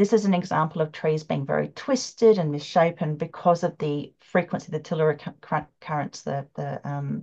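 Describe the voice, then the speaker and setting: A woman with an Australian accent speaks in a very deep, low voice with ordinary pitch variation. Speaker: ley line researcher and psychic development teacher. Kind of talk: presentation with slides. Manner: fast.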